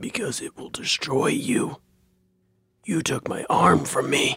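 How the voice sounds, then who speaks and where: Putting on a character voice, a man speaks fairly slowly at a fairly high pitch, sounding raspy and gravelly. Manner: ominous.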